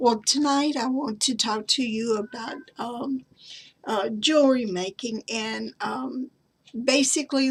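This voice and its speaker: Very slow speech in a Southern US accent with fairly even intonation. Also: woman. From US South. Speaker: craft and genealogy vlogger. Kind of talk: show-and-tell tutorial. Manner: halting, many fillers.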